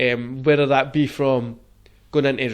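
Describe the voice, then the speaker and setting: A man with a Glaswegian accent speaks fairly slowly in a monotone, flat delivery at a fairly high pitch. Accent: Glaswegian Scottish. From Scotland, Glasgow. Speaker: podcast host. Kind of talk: casual chat.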